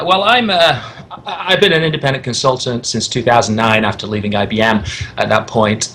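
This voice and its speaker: Lively intonation marks a man's speech, heard with noticeable background noise. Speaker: IT consultant. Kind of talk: interview. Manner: animated, high energy.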